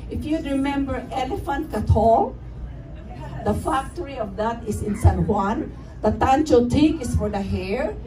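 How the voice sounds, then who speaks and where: At a fairly slow pace, a woman speaks amid noticeable background noise and audible room echo. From Philippines. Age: 70s. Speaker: radio host. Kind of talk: gala speech with slides.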